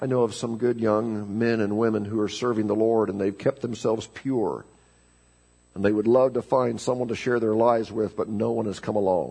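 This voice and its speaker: Keeping his intonation fairly even, a man talks at a moderate speed. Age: 50s. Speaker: pastor. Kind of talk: sermon. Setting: church. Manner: halting, frequent repetitions.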